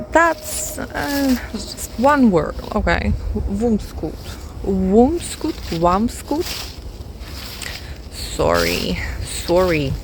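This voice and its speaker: In a non-native accent, the speech moves very slowly with long, frequent pauses, audible room echo and noticeable background noise. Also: woman. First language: not English. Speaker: music vlogger. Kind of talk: casual vlog monologue. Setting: outdoors, walking in a forest. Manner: hesitant, with fillers and repeats.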